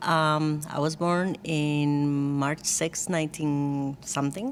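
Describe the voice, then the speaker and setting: With a Costa Rican accent, a woman speaks at a very slow pace. Her pitch is very deep and low, and her intonation fairly even. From Costa Rica, San Jose. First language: Spanish. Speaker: church worship team member. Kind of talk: casual interview.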